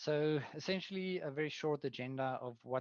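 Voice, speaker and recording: A man with a South African accent, his voice dry and close with no echo. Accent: South African Afrikaans. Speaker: product manager. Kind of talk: webinar presentation. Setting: online webinar. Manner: hesitant, many fillers.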